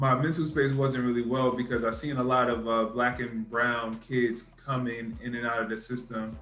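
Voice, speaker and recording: With music in the background and audible room echo, a man in a New York accent talks at a moderate pace with hardly any pauses, at a medium pitch and fairly even intonation. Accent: New York City. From New York City (Brooklyn). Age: 30s. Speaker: youth services manager. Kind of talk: interview. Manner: hesitant, many fillers.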